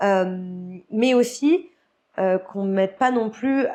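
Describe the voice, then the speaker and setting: Her pitch moves in an ordinary way. This voice belongs to a woman. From Guadeloupe. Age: 30s. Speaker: retired freestyle skier. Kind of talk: podcast interview. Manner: hesitant, many fillers.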